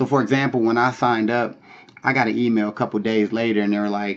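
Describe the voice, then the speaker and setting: Using an ordinary speaking voice, a man talks at medium pitch with fairly even intonation. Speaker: online money-making vlogger. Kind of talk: casual vlog tutorial. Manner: casual, many filler words.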